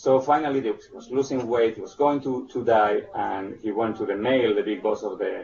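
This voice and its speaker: A man with a Spanish accent talks fairly quickly with hardly any pauses and big swings in loudness, over noticeable background noise. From Spain. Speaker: presenter on early childhood development. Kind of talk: webinar presentation. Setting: online webinar. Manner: halting, many fillers and restarts.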